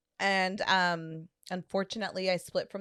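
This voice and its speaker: Recorded very cleanly against a silent background, a woman with a medium pitch talks at a moderate pace with fairly even intonation, the sound dry and close with no echo. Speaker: podcast guest. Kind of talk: casual chat. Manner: loud.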